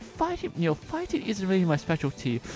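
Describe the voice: Over clear background music, a man uses a put-on character voice, pitched high, at a moderate pace.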